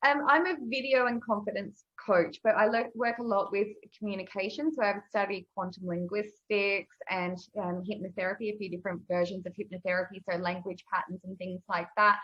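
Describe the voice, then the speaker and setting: A woman speaks with an Australian accent at a fairly quick pace. Her voice sits at medium pitch with ordinary pitch variation. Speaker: video and confidence coach. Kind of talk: casual interview chat. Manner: energetic.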